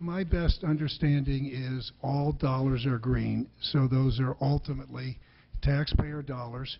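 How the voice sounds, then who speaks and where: Speaking at a fairly slow pace, a man with a medium pitch keeps his intonation fairly even and sounds somewhat breathy. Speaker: former Secretary of the Treasury and bank CEO. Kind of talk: congressional hearing testimony. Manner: stammering, hesitant.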